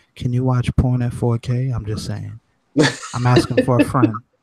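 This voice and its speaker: A man whispers quietly and breathily in a put-on character voice at a moderate pace. The sound is dry and close, with no echo. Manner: whispering, confidential.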